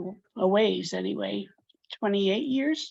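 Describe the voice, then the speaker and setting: A woman speaks at a very slow pace. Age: 70s. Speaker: early neurodiversity movement participant. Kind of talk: casual group discussion. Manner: halting.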